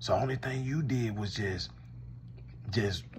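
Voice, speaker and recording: A man with an American accent speaks in an animated tone with lively intonation and fairly low pitch over light background noise. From Louisiana. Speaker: commentator. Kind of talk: comedic one-sided call skit. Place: home room. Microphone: phone near.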